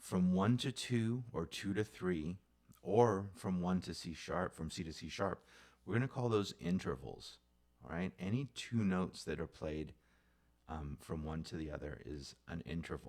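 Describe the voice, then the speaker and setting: Lively intonation runs through a man's very deep, low voice as he speaks at a fairly slow pace. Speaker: music teacher. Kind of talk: music theory lesson. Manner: casual, conversational.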